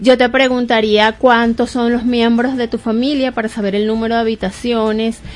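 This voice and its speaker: Her pitch high and her intonation monotone and flat, a woman with a Venezuelan accent speaks at a fairly slow pace. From Venezuela, Barquisimeto. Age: 40s. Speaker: real estate agent. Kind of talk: radio interview. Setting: radio studio.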